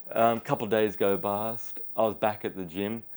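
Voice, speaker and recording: On a very clean recording with a silent background, a man with an Australian accent speaks at a fairly low pitch. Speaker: podcast host. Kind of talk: casual interview chat.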